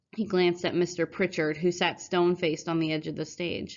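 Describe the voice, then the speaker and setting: Putting on a raspy character voice, a woman talks at a fairly quick pace with a fairly low pitch and monotone, flat intonation. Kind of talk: audiobook narration for students. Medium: read story.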